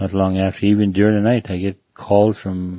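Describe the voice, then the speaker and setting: Against a quiet background, a man speaks at a moderate pace in a dark, mellow, fairly low voice, the sound dry and close with no echo. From Manitoba, Canada (Cree First Nation). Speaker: recovered alcoholic sharing testimony. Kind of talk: testimony. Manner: halting, many repetitions.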